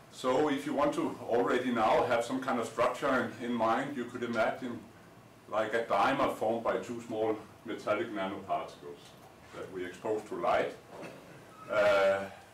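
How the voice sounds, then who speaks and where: A man talks at a moderate pace with ordinary pitch variation, with audible room echo and light background noise. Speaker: lecturer. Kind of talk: lecture. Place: classroom. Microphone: camera far.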